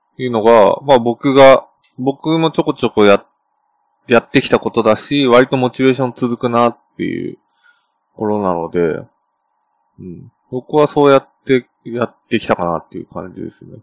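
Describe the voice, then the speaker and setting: An unremarkable speaking voice moves at a moderate pace with ordinary pitch variation and big swings in loudness. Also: man, medium pitch for a man. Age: 20s. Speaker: software engineer podcast co-host. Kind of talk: casual chat.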